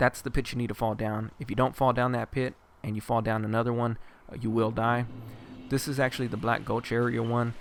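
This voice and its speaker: The pace is moderate. A man speaks with fairly even intonation. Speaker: gaming video guide host. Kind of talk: game walkthrough commentary. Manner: casual, hesitant with fillers.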